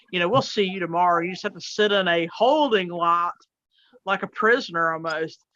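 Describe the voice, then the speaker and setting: Talking at a fairly quick pace, a woman with a Southern US accent has a fairly low pitch, ordinary pitch variation, and a bright, sharp tone. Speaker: truck driver. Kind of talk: casual chat. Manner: halting, many fillers.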